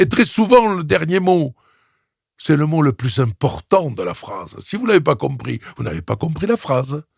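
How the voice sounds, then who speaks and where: A somewhat breathy man speaks at a fairly slow pace with a fairly high pitch and very wide pitch swings. The sound is dry and close, with no echo. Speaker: opera singer and voice coach. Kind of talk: interview conversation. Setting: studio.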